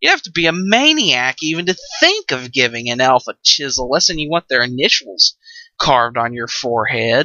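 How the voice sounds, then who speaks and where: Here a man performs a put-on character voice. His pitch sits in the medium range. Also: moderate pace. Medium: read story.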